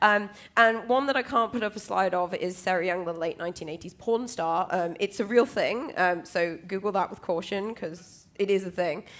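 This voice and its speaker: A woman speaks with a British accent and hardly any pauses. The recording is very clean, with a silent background. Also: medium pitch for a woman, ordinary pitch variation, moderate pace. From UK. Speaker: conference speaker, cloud security specialist. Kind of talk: conference talk. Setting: stage with audience. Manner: casual, many filler ums.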